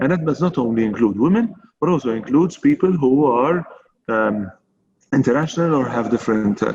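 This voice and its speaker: A man's speech comes very fast. The intonation is lively. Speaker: chamber of commerce president. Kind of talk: panel discussion. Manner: measured, with fillers.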